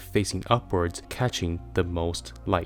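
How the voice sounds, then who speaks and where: A man's very deep, low voice with lively intonation at a moderate pace, over noticeable background noise. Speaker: car design reviewer. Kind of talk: scripted narration. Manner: enthusiastic.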